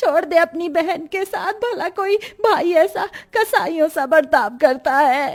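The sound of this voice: In a put-on character voice, a woman speaks slowly at an extremely high pitch with ordinary pitch variation.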